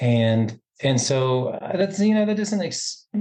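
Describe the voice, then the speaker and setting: Speaking with a slight Southern US accent, a man at a fairly high pitch keeps a moderate pace and lively intonation. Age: middle-aged. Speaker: podcast guest, educator. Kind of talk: casual chat. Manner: halting.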